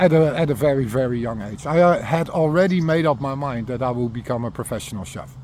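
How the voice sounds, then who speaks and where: Here a man speaks with a Dutch accent. His voice is medium in pitch, with ordinary variation. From Netherlands, Rotterdam area. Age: 50s. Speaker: recovering alcoholic sharing his story. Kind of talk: personal testimony monologue. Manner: halting, many fillers and repetitions.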